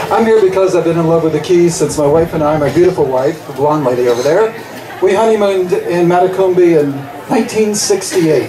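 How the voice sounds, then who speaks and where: With crowd noise behind him and audible room echo, a man speaks at a high pitch with ordinary pitch variation. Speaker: school board candidate, teacher. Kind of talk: campaign speech.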